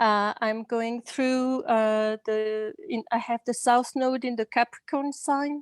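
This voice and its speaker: A woman with a French accent speaks in a high voice at a very slow pace, with hardly any pauses. Her intonation is fairly even, and the sound is dry and close with no echo. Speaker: class attendee. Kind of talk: question in online class. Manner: halting.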